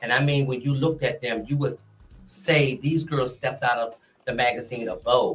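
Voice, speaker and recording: With music in the background, a man speaks with an American accent at a moderate pace. His pitch is fairly high and his intonation fairly even. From Washington DC (Southeast/Southwest). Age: 60s. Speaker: go-go scene figure, podcast guest. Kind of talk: casual interview storytelling.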